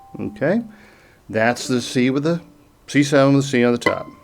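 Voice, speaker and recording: A man with an American accent speaks with ordinary pitch variation as music plays in the background. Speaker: music teacher. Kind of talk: tutorial. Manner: casual, with fillers.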